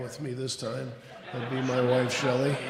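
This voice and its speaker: Soft-spoken delivery with audible room echo. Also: man. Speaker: lodge officer, grand secretary. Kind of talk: ceremony introductions.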